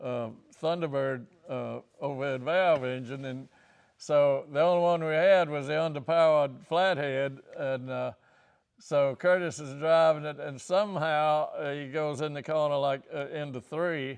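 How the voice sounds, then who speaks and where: With a Virginia accent, the speaker goes at a fairly slow pace and keeps the intonation fairly even. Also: man, fairly high pitch for a man, big swings in loudness. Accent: Southern US (Virginia). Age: 80s+. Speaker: racing team co-founder and mechanic. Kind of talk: interview answer, storytelling.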